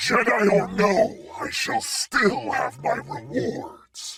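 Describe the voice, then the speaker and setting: In a put-on character voice, a man growls at a very slow pace with an extremely high pitch. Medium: video game. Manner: snarling, arrogant.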